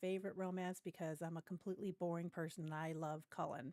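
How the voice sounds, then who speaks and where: A woman's fairly low, dark, mellow voice in an American accent, at a fairly quick pace with fairly even intonation and a dry, close sound with no echo. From US West Coast, Ventura County, Southern California. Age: middle-aged. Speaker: gaming streamer. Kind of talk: casual livestream chat. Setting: livestream.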